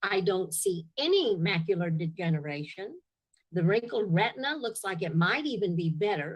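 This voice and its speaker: A woman's somewhat breathy voice at a medium pitch, with lively intonation and a moderate pace. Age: 70s. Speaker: testimonial giver, product user. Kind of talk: testimony. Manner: halting.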